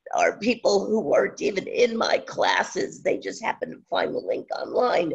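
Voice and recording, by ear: The voice is strained and raspy, with vocal fry and a slightly husky edge.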